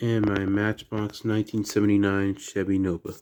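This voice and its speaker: Quiet and fairly low, a man's voice carries a dark, mellow tone. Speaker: diecast toy collector YouTuber. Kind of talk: casual unboxing video. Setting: at home at night. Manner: quiet indoor voice.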